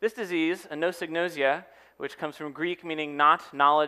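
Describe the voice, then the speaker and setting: A man talks at a very fast pace in a bright, sharp tone. The background is quiet. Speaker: speaker. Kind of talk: public talk. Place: stage. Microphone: headset.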